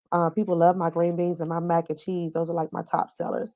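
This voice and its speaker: A woman with a Southern US accent speaks at a fairly low pitch in a dark, mellow tone. The sound is dry and close with no echo, against a quiet background. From US South. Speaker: caterer, chef and business owner. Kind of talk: casual interview.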